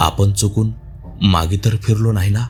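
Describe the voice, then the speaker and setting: Put-on character voice from a man, fairly low pitch, clear music in the background. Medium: read story. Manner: talking to himself, uneasy.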